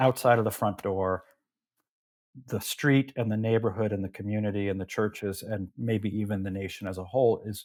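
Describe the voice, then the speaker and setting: Speaking fairly quickly in a normal speaking voice, a man with a fairly low pitch is heard on a very clean recording with a silent background. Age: 60s. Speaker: political theory professor, author. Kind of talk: interview conversation. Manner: repeats words when starting sentences.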